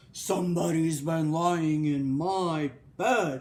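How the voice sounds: Very slow delivery in a put-on character voice, pitched in the middle range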